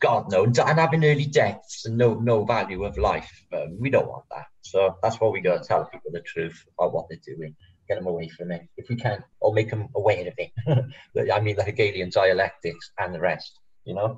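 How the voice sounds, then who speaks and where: With a strong Welsh accent, a man speaks at a moderate pace with big swings in loudness. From Wales. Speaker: flat earth video creator. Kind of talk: casual chat. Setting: live stream.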